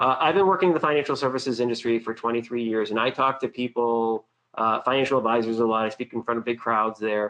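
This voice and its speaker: With an American accent, a man talks at a very fast pace and medium pitch, with hardly any pauses. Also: ordinary pitch variation. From Boston, US. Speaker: webinar presenter, financial services marketer. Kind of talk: webinar presentation. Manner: casual, many fillers.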